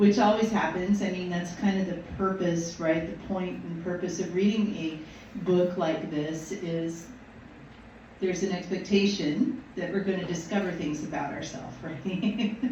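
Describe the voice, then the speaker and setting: A woman with a fairly low pitch speaks at a moderate pace with fairly even intonation, over noticeable background noise and audible room echo. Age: 60s. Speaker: minister. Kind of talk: sermon. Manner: halting.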